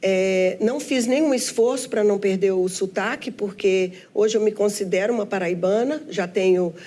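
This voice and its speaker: Over noticeable background noise, a woman talks at a fairly slow pace with a fairly high pitch and lively intonation. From Brazil, Minas Gerais (Belo Horizonte). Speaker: businesswoman and union leader. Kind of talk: interview. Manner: halting.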